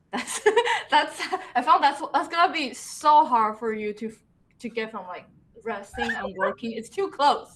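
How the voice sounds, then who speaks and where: A woman's high-pitched voice with a Mandarin accent, very wide pitch swings, big swings in loudness, a moderate pace and long, frequent pauses. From Taiwan, Taipei. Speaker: character designer. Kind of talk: casual interview chat.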